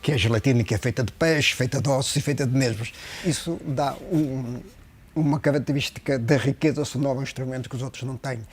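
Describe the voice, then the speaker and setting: Somewhat breathy, a man of medium pitch talks at a fairly quick pace with fairly even intonation. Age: 60s. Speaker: luthier. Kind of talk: interview. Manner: hesitant with fillers and repetitions.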